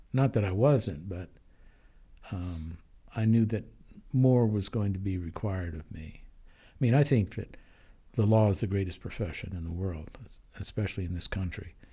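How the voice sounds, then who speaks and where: Using long, frequent pauses, a man with an American accent speaks at a fairly low pitch in a dark, mellow tone with ordinary pitch variation. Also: moderate pace. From Denver, Colorado. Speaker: judge. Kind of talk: interview. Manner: halting, with fillers.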